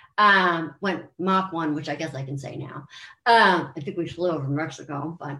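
Speaking with an American accent, a woman uses a fairly low pitch, ordinary pitch variation and a moderate pace, with big swings in loudness. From US, Maryland. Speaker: country and pop singer. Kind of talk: interview, casual chat. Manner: animated.

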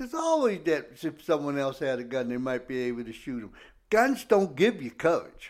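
Speaking in a normal speaking voice, a man with a fairly high pitch uses lively intonation and big swings in loudness at a moderate pace. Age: 60s. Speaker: radio co-host. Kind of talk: casual chat.

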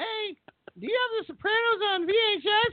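In a put-on character voice, the speaker reaches an extremely high pitch. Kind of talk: default voice for parents, polite.

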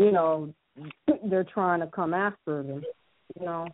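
A woman speaks with an American accent. Her pitch sits fairly low, and her intonation stays fairly even. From US Midwest. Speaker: radio show caller. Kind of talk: call-in radio question. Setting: phone call.

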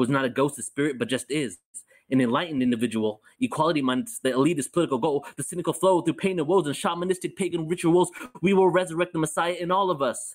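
At a very fast pace, a man with a fairly high pitch speaks with lively intonation. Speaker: spoken word artist. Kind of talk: spoken word performance. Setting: video call. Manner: meditative cadence.

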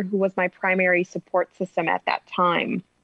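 This woman has a normal speaking voice with an American accent. She talks at a moderate speed in a medium pitch. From US Midwest, north suburbs of Chicago. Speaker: intuitive relationship coach and author. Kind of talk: interview, personal story.

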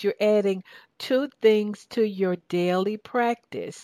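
A woman with an American accent speaks at a very slow pace and a fairly high pitch. The recording is very clean, dry and close, with a silent background and no echo. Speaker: talk show host and success coach. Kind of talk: radio talk show interview. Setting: radio studio. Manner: animated.

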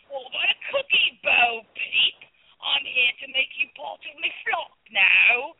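A woman's put-on character voice in a Cockney accent, high-pitched with big pitch swings and vocal fry, in a dry, close sound with no echo. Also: fairly slow pace.

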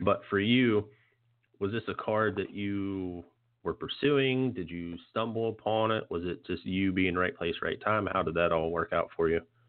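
With an American accent, a man with an unremarkable speaking voice talks at a moderate pace, pitched fairly low with ordinary pitch variation. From West Virginia, Morgantown. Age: 30s. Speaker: podcast host. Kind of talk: casual interview.

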